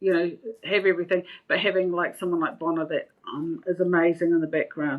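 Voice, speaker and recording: Here is a normal speaking voice from a woman with a fairly low pitch. Her pace is fairly quick and her intonation fairly even. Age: 60s. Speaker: veteran real estate agent. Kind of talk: podcast interview.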